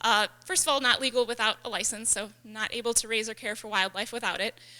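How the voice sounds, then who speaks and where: A woman's fairly high voice has a bright, sharp tone and races along at a very fast pace. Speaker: wildlife rehabilitator. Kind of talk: lecture.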